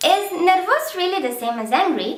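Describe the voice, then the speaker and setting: A woman with a Romanian accent speaks at a moderate pace with very wide pitch swings. Noticeable background noise and audible room echo surround her. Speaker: language teacher. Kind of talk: tutorial.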